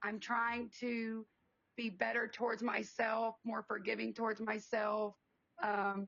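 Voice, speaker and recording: At a fairly slow pace, the delivery stays monotone and flat with very even loudness. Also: woman, fairly high pitch for a woman. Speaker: business owner. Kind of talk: podcast interview.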